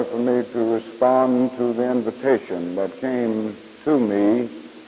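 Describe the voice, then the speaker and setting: A medium-pitched man with an American accent, fairly slow and fairly even in intonation, over noticeable background noise. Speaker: civil rights leader and Baptist minister. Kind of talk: public speech at a church conference. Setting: live podium speech, 1965 recording.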